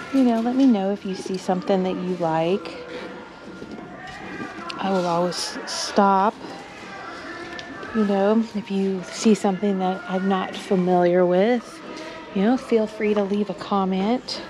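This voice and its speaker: With crowd noise in the background, a woman speaks with long, frequent pauses. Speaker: thrift reseller vlogger. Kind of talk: casual vlog chat. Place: shop. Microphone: phone near.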